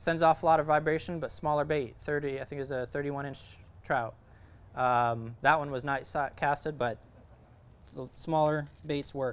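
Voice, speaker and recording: In a very clean recording with a silent background, a man with a plain, everyday voice speaks at a fairly high pitch, a moderate pace and with fairly even intonation. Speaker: fishing instructor. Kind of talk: presentation to audience. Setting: event with live audience. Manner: many filler words.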